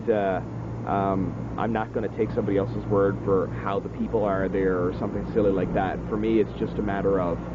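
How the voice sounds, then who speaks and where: A man's fairly low voice at a very fast pace, with very wide pitch swings, audible room echo and noticeable background noise. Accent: East Coast Canadian. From Atlantic Canada (Newfoundland). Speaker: singer-songwriter. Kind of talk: interview. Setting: outdoors. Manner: hesitant, many fillers.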